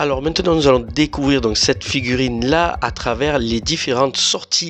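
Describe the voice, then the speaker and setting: Music plays in the background as a man speaks at a medium pitch. His pace is moderate and his pitch variation ordinary. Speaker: YouTube figure reviewer. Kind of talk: product review. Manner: casual, hesitant with fillers.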